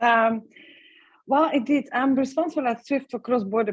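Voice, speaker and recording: Talking at a fairly quick pace, a woman with a Dutch accent has a high pitch and ordinary pitch variation. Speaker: payments strategy expert. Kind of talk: panel interview on video broadcast. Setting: online call. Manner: hesitant, many fillers.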